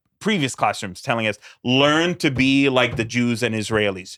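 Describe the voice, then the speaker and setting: A man with an Arabic accent and a bright, sharp tone, at a moderate pace, in a very clean, dry, close recording with a silent background and no echo. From Gaza. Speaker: humanitarian activist. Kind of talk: interview.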